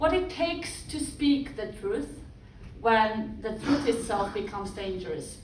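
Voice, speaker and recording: A woman with a Georgian accent speaks at a fairly slow pace and a fairly high pitch, her intonation lively. Room echo is audible, and noticeable background noise runs underneath. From Georgia, Batumi. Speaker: speaker on press freedom. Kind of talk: public speech.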